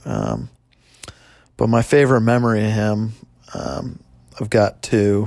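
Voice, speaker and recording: A man with a fairly low voice talks at a fairly slow pace, with long, frequent pauses and ordinary pitch variation. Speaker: skier and friend. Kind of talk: casual recollection.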